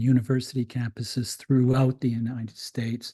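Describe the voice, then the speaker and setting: A man talks at a moderate pace in a medium pitch, his somewhat breathy voice dark and mellow in tone. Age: 70s. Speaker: critical pedagogy scholar. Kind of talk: invited talk. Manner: halting, many fillers and repetitions.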